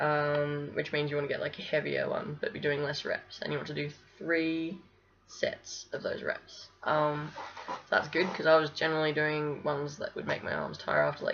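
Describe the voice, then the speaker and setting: At a moderate pace, a woman mumbles her words. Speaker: vlogger documenting gender transition. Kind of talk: casual video diary. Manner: mumbling; hesitant, many fillers.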